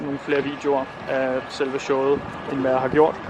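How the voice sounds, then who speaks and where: A man with a fairly high pitch keeps a moderate pace while noticeable background noise continues behind him. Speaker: vlogger. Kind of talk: casual vlog talk to camera. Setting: outdoors in the cold; on a train. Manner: hesitant, many fillers.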